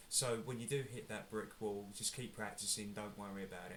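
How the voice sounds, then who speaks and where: A somewhat breathy man talks at a very fast pace, with audible room echo around him. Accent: English. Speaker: guitar teacher. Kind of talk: tutorial. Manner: casual, hesitant with fillers.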